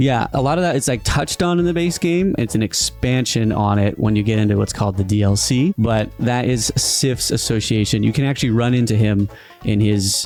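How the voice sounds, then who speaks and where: A man at a fairly quick pace, fairly low in pitch and very even in loudness, with music in the background. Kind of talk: casual explanation to his father.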